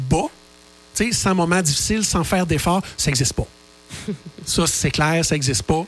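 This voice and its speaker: Over noticeable background noise, a man with a high voice and ordinary pitch variation speaks at a moderate pace. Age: 50s. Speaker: author and radio contributor. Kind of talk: radio interview.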